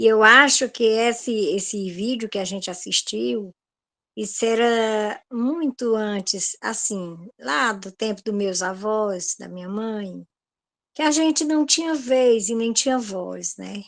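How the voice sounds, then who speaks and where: Over a quiet background, a woman talks at a very slow pace with a fairly high pitch, ordinary pitch variation and big swings in loudness. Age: 60s. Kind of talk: group discussion.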